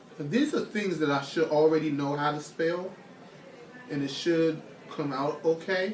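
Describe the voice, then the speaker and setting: A man speaks at a moderate pace with a fairly high pitch and long, frequent pauses, with audible room echo and noticeable background noise. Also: ordinary pitch variation. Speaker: psychology student. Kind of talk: casual self-recorded experiment narration. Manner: halting.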